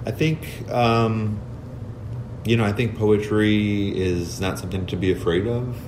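A man with an American accent talks at a fairly slow pace, his pitch fairly low with ordinary variation. Audible room echo and noticeable background noise fill the recording. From US Midwest, Cicero near Chicago. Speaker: poet and librarian. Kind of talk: interview. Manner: halting, many fillers.

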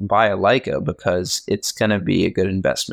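Recorded very clean with a silent background and a dry, close sound with no echo, a man with an American accent speaks at a moderate pace. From Virginia, US. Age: 20s. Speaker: film photographer. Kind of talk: casual chat.

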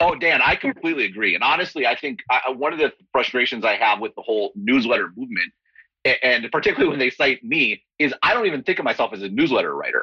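The voice goes at a very fast pace in a dry, close sound with no echo. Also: man. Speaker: newsletter writer and analyst. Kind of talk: panel discussion.

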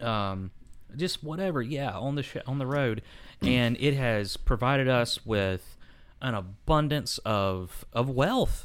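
A man at a medium pitch, very slow pace and lively intonation. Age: 30s. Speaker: podcast co-host. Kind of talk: casual chat.

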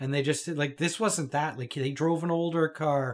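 With a Canadian accent, a man talks in a plain, everyday voice, his pitch fairly high and his intonation fairly even. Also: very clean recording, silent background. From Toronto, Canada. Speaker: podcast co-host. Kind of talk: casual chat.

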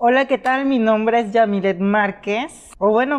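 In a quiet setting, a woman with a fairly high pitch and ordinary pitch variation speaks in a plain, everyday voice. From Mexico, Veracruz. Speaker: YouTuber. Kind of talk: personal life story monologue. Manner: casual, chatty.

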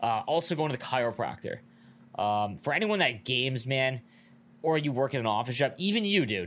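A man's plain, everyday voice at medium pitch, with lively intonation, a fairly quick pace and very even loudness. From Canada, Niagara Falls. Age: 30s. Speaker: podcast co-host and streamer. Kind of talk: casual chat.

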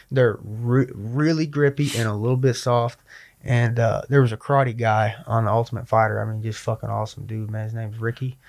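In a very clean recording with a silent background, a man with a plain, everyday voice talks at a medium pitch and a fairly quick pace, his intonation fairly even. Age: 20s. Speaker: MMA fighter. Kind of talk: casual chat.

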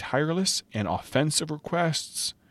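This very clean recording of a man has a silent background and a dry, close sound with no echo. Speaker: podcast host reading a devotional book aloud. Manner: earnest, impassioned and emphatic, pressing each point.

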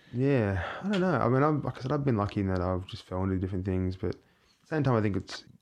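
A man with an Australian accent talks at a very fast pace with ordinary pitch variation. The background is quiet. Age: 30s. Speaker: theatre maker and performer. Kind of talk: casual chat. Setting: small studio.

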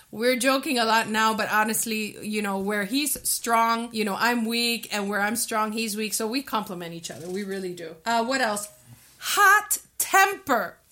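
A woman talks in a fairly high voice at a moderate pace, her pitch varying in an ordinary way, while noticeable background noise runs behind her. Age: 50s. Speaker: podcast co-host. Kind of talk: casual chat.

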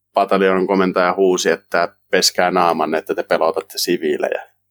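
The recording of this man is dry and close with no echo, and he talks at a fairly slow pace. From Finland, South Ostrobothnia (Kauhava). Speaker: volunteer soldier. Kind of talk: interview. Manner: halting.

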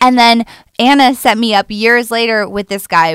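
A woman speaks at a fairly slow pace in an unremarkable speaking voice, fairly high in pitch, with a dry, close sound and no echo. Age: 30s. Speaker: comedian. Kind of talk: casual chat.

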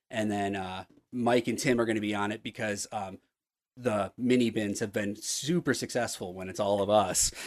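At a moderate pace and a fairly low pitch, a man speaks in a plain, everyday voice with fairly even intonation over a quiet background. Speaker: comic book writer. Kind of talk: casual chat.

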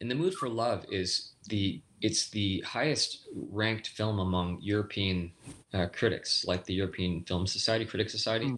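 A man with an unremarkable speaking voice, fairly low pitch, ordinary pitch variation and a moderate pace. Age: 40s. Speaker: stunt performer and director. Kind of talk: casual chat.

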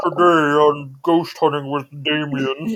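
A man's put-on character voice, nasal and fairly high-pitched, at a fairly slow pace

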